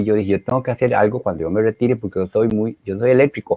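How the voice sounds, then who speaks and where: Pitched at a medium level for a man, his voice shows ordinary pitch variation. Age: 60s. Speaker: retired engineer, helpline volunteer. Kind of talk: interview. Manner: animated; halting, many fillers.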